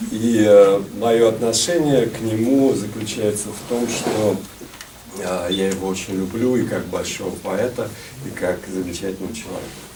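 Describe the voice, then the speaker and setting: In a Russian accent, a man talks at a fairly slow pace with a fairly low pitch and ordinary pitch variation. Audible room echo and noticeable background noise fill the recording. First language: Russian (speaking French). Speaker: poet. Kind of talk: speech at poetry evening.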